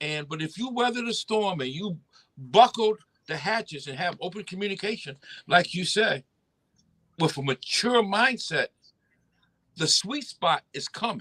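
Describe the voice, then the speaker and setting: In a dry, close sound with no echo, a man speaks in a raised, projected voice, high-pitched with a bright, sharp tone, lively intonation, big swings in loudness and long, frequent pauses. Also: moderate pace. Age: 60s. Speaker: podcast host. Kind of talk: casual chat.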